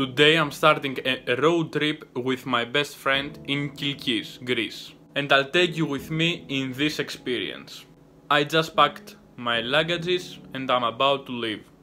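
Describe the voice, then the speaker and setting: A man at a fairly slow pace with fairly even intonation, faint music in the background. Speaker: vlogger. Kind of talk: casual vlog chat. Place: home room. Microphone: phone near.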